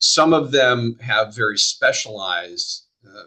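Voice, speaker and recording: Using vocal fry, a man speaks at a very slow pace. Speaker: economic development official. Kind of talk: webinar presentation.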